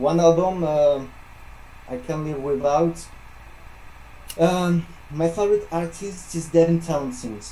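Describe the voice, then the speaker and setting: A man delivers his words at a fairly slow pace with lively intonation, noticeable background noise behind him. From France. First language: French. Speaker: metal musician. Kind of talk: interview. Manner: halting, many fillers. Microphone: echo.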